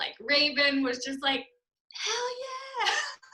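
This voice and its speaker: A woman's high-pitched, raised and projected voice at a fairly slow pace, with a Canadian accent. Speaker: network marketer. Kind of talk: testimony. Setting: video call.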